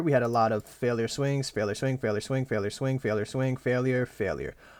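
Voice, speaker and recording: A man is speaking. The recording is very clean and the background silent. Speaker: day trader. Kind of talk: trading journal recap, screen walkthrough. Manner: fast; casual, swearing.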